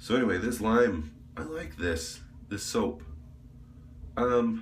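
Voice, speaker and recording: A man with a medium pitch and lively intonation talks at a very slow pace, with audible room echo and noticeable background noise. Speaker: YouTuber reviewing shaving products. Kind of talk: casual vlog monologue. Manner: casual, rambling with fillers.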